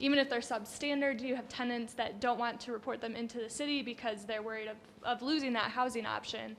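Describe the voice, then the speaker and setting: Very fast and loud, a woman with a high pitch speaks in a flat monotone with hardly any pauses. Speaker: panelist. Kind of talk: panel discussion.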